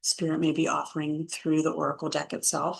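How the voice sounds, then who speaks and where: A woman speaks with a very deep, low pitch. The background is quiet. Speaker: spiritual content creator. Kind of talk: spiritual talk with oracle card reading. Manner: slow.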